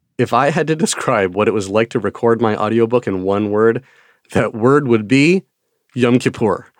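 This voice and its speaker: At a moderate pace, a man of medium pitch talks with ordinary pitch variation in a very clean recording with a dry, close sound, no echo and a silent background. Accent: American. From Wisconsin. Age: 40s. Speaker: children's book author and educator. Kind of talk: interview monologue.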